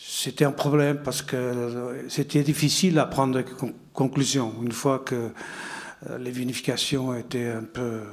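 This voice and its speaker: A man speaks at a medium pitch with a Portuguese accent and fairly even intonation. Noticeable background noise runs under his voice. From Portugal, Porto. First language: Portuguese (speaking French). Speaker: winegrower. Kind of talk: panel discussion.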